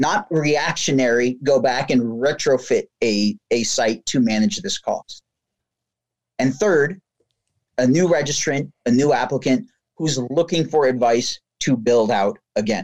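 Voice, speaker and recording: A man with an American accent talks in a normal speaking voice at a medium pitch. His intonation is lively and his pace fairly slow. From New Jersey. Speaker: business operations and sales lead. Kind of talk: interview.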